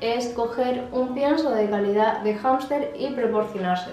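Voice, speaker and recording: The voice shows ordinary pitch variation, with audible room echo and faint music in the background. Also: woman. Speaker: pet care vlogger. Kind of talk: tutorial. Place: home room. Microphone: phone near.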